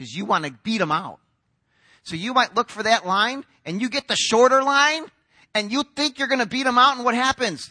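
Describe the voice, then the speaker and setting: Against a quiet background, a man with an extremely high pitch uses a raised, projected voice, a bright, sharp tone and lively intonation at a fairly quick pace, in a dry, close sound with no echo. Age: 40s. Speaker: pastor. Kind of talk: sermon.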